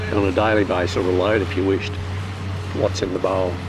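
Against noticeable background noise, in a dry sound with no echo, a man speaks at a fairly quick pace and a fairly low pitch. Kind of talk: interview answer. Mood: calm, matter-of-fact. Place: open country.

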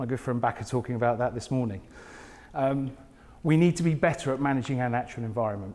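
This man has a southern English accent. He talks at a very fast pace. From southern England, Portsmouth area; southern England. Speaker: smart cities technologist; conference presenter. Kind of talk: conference talk. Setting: stage with audience. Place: hall. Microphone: lapel.

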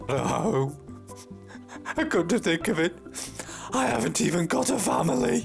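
A put-on character voice speaks at a moderate pace with long, frequent pauses while clear music plays in the background. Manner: mournful.

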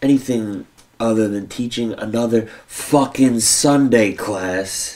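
A man's pitch varies in an ordinary way as he talks at a very slow pace. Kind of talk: scripted drama dialogue. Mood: frustrated, restless. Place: home room.

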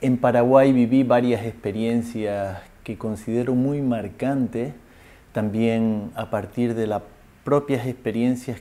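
At a fairly slow pace, a man with a medium pitch and a dark, mellow tone speaks with fairly even intonation. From Canary Islands, Spain. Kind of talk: interview testimony. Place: home room.

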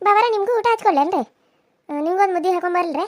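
In a cartoonish character voice, a woman squeaks at an extremely high pitch, with ordinary pitch variation at a moderate pace. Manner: meek, respectful.

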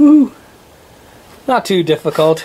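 At a fairly slow pace, the speaker talks with an American accent. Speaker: homesteader demonstrating repair. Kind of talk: tutorial. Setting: outdoors. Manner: casual, conversational. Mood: relaxed, jokey. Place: home room. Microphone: phone near.

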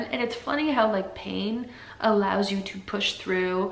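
Very slow and with fairly even intonation, a woman speaks at a medium pitch over noticeable background noise. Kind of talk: casual talk to camera. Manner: soft-spoken, hesitant.

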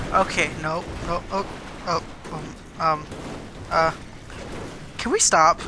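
Over noticeable background noise, a man speaks in a high, monotone, flat voice broken by long, frequent pauses. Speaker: gaming YouTuber. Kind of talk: casual gameplay chat. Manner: playful, laughs often.

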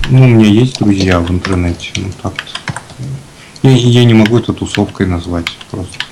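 Fairly low male voice, moderately paced, pitch varying in an ordinary way, noticeable noise in the background. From Russia, Chelyabinsk. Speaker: concept artist. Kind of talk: casual chat while painting. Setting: remote call via Skype on live stream. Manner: halting. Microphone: poor, noisy microphone.

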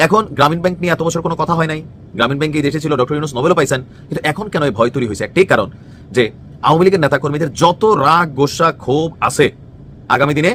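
With ordinary pitch variation and a fairly high pitch, a man talks in a plain, everyday voice. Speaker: political commentator. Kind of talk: political commentary. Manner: colloquial, conversational.

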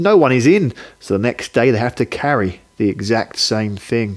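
A man speaks at a fairly slow pace with lively intonation, his pitch sitting in the medium range. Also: slightly mellow tone.

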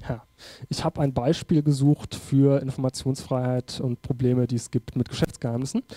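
A man's medium-pitched voice with a dark, mellow tone, at a moderate pace. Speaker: politician giving a talk. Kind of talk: conference lecture. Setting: conference stage with audience.

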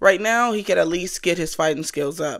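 A woman speaks at a moderate pace in a fairly low voice. The background is quiet. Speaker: reaction vlogger. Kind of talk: casual commentary on a TV show. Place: home room. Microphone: studio mic.

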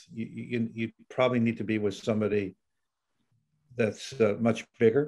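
A man's speech moves along at a fairly quick pace. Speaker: guest. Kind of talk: interview answer. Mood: relaxed, reflective. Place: office. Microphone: video call.

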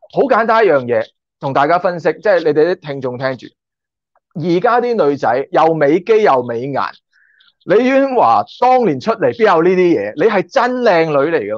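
At a moderate pace, the voice carries an animated tone and very wide pitch swings, with dry sound, no echo and a quiet background. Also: man, high pitch for a man. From Hong Kong. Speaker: YouTuber and former stunt extra; YouTuber. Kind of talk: casual interview chat. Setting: online call. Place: home room. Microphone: video call.

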